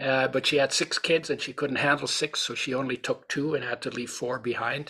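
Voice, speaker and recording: A man at medium pitch, fairly quick, with a bright, sharp tone and monotone, flat intonation. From Europe. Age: 80s+. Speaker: nutrition author and supplement founder. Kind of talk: interview.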